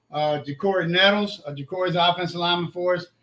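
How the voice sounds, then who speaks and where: A man with an Alabama accent talks very fast in a high pitch, his tone bright and sharp and his intonation fairly even. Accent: Southern US (Alabama). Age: 60s. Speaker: high school football coach. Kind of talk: casual interview.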